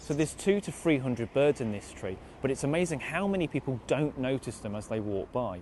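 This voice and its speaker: A man talks fairly quickly at a medium pitch. His intonation is lively and his tone enthusiastic. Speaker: wildlife presenter. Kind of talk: presenting to camera outdoors. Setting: outdoors.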